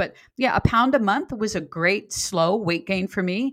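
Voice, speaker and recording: A woman with an unremarkable speaking voice talks at a moderate pace with lively intonation. The recording is very clean, with a silent background. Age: 60s. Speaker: fitness coach and author. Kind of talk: casual chat.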